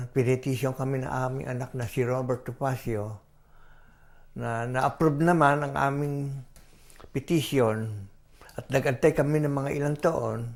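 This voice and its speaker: A man with a Filipino accent speaks in fairly even intonation, leaving long, frequent pauses. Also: medium pitch for a man, moderate pace. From Philippines. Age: 80s+. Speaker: interviewee. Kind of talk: interview.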